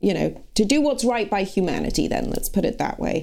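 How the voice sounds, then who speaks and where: A woman speaks with vocal fry. Her tone is dark and mellow. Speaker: fill-in podcast host and news commentator. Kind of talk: news podcast commentary.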